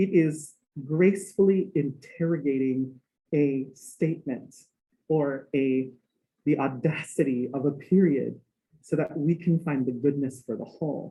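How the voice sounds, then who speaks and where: At a fairly slow pace, the speaker uses ordinary pitch variation in a Hawaii accent. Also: man, fairly high pitch for a man. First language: Hawaiian. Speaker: music professor. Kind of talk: lecture.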